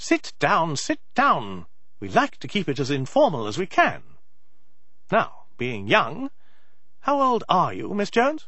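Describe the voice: At a slow pace, the speaker uses a put-on character voice with very wide pitch swings. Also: man, fairly high pitch for a man.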